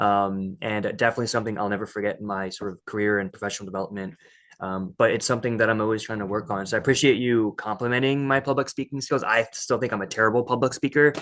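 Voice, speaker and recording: Against a quiet background, a man with a fairly low pitch talks very fast with hardly any pauses and ordinary pitch variation. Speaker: podcast guest. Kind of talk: casual chat. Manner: halting.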